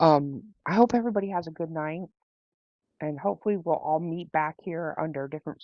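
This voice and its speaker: A woman speaks at a moderate pace. Her pitch is very deep and low, with ordinary pitch variation. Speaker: live stream host. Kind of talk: live stream chat.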